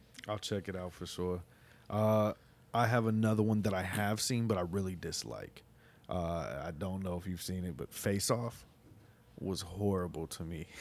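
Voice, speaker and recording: This man's pitch is very deep and low. He talks at a moderate pace. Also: ordinary pitch variation. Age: 20s. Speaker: podcast co-host. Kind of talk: casual chat.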